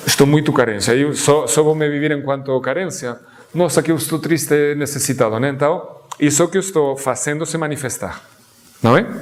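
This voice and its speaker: Someone talks at a fairly quick pace with a non-native accent and fairly even intonation. Noticeable background noise and audible room echo fill the recording. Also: man, fairly high pitch for a man. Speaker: guest lecturer on Sufism. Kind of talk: lecture. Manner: halting, with false starts.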